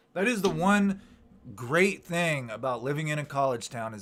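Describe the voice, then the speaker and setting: The speaker is a man with a moderate pace. His pitch rises and falls over a very wide range. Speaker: YouTuber hosting live chat. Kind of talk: casual live stream chat. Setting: live stream.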